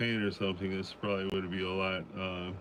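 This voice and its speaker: A man with a fairly low pitch. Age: 60s. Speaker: watercolor painting livestreamer. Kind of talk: live painting tutorial. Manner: halting, many fillers; casual, thinking aloud.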